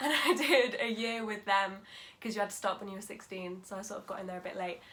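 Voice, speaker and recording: With an East Midlands accent, a woman talks at a very fast pace at a medium pitch with ordinary pitch variation and big swings in loudness over noticeable background noise. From England, Lincolnshire. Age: 20s. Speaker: drama school student. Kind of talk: casual interview.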